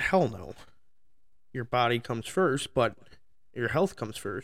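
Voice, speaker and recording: In an American accent, a man talks at a fairly quick pace. His medium-pitched voice carries vocal fry. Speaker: podcast host. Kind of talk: profane angry rant about lazy coworkers, slipping into a bitter workplace anecdote. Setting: solo at a microphone. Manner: heated and expletive-laden, spitting curses between nearly every phrase; rambling and self-interrupting, losing his train of thought mid-rant.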